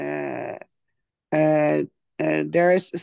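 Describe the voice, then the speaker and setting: Speaking with a Dutch accent, a woman goes at a very slow pace. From Netherlands. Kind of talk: testimony. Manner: halting.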